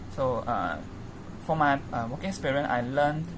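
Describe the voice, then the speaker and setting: With a very deep, low pitch and ordinary pitch variation, a woman speaks amid audible room echo and noticeable background noise. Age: 20s. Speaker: university student. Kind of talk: self-introduction for a class task. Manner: halting, many fillers.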